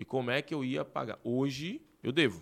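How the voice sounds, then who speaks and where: In a very clean recording with a silent background, the speaker uses an animated tone at a fairly slow pace. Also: man. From Recife, Pernambuco, Brazil. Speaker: entrepreneur, gym owner. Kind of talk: interview.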